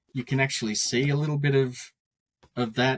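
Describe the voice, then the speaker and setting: In an Australian accent, a man speaks at a moderate pace with a dry, close sound and no echo. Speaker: Australian Star Wars collector. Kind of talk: casual podcast interview. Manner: halting, many repetitions.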